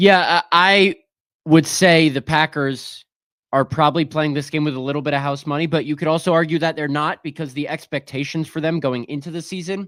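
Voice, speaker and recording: Recorded very cleanly with a silent background and a dry, close sound without echo, a man speaks at a fairly quick pace with fairly even intonation. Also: fairly high pitch for a man. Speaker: sports radio host. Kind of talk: sports talk radio chat. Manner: fast.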